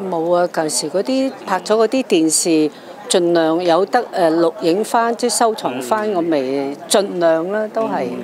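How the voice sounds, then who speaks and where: A woman's fairly low voice with lively intonation, over noticeable background noise. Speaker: Cantonese opera actress. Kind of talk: press interview answer.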